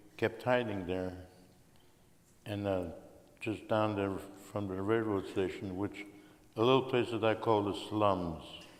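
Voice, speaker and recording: Amid audible room echo, a man talks fairly slowly at a fairly low pitch with monotone, flat intonation. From Belgium. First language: Russian. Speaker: Holocaust survivor. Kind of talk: interview testimony.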